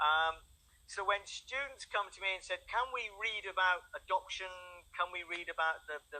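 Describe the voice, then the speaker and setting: A man talks at a moderate pace in a high pitch, with ordinary pitch variation. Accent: English. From England. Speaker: English tutor. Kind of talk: online language lesson. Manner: halting, repeats words.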